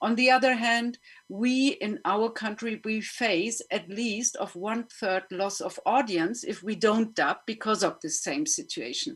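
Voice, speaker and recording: Speaking at a fairly slow pace, a woman with a German accent uses lively intonation and a fairly high pitch. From Germany. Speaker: panel moderator and filmmaker. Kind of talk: panel discussion. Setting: online webinar.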